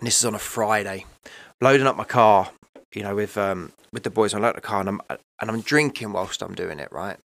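A man with a normal speaking voice and fairly low pitch talks at a fairly quick pace with ordinary pitch variation, in a very clean recording with a silent background. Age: 30s. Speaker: recovering addict sharing his story. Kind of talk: testimony.

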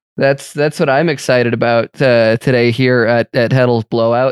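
A man with an unremarkable speaking voice talks at a moderate pace and a medium pitch. His intonation is fairly even, he hardly pauses, and the sound is dry and close with no echo. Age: 30s. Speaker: podcast host. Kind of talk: casual chat; news commentary.

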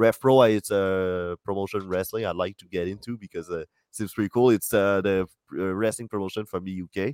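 In a very clean recording with a silent background and a dry, close sound with no echo, a man with a French accent talks fairly quickly in a fairly low pitch, his intonation fairly even and his loudness swinging widely. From France. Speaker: comedian and podcast co-host. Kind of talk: casual chat.

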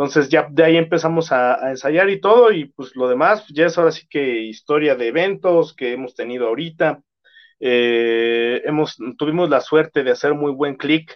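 A man talks in a normal speaking voice, pitched fairly high. His pace is moderate and his pitch varies in an ordinary way. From Mexico, Estado de México. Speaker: metal band vocalist. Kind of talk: casual interview chat.

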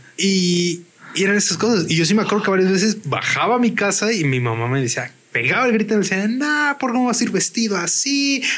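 Against noticeable background noise, a man with a high voice talks very fast with lively intonation. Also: very even loudness. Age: 30s. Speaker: podcast co-host. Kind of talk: casual chat.

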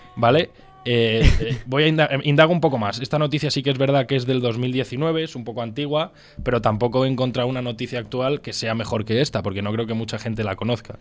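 Over noticeable background noise, a man talks at a fairly quick pace. His pitch is medium, with ordinary variation. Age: 20s. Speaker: podcast co-host. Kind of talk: casual chat.

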